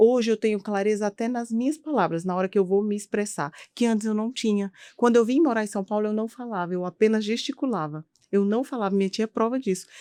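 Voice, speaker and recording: Very fast speech in a dark, mellow tone carries ordinary pitch variation in a dry, close sound with no echo. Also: woman, fairly high pitch for a woman. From Brazilian Northeast, rural Piauí. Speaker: physician. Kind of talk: interview conversation.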